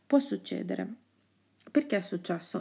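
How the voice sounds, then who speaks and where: A soft-spoken woman's medium-pitched voice with a dark, mellow tone, in a very clean recording with a silent background. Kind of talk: ASMR horoscope reading.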